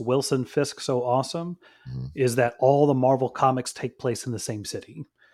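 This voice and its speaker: A man uses an ordinary speaking voice at medium pitch and a moderate pace. The recording is very clean, with a silent background. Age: 40s. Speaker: podcast co-host. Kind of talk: casual chat.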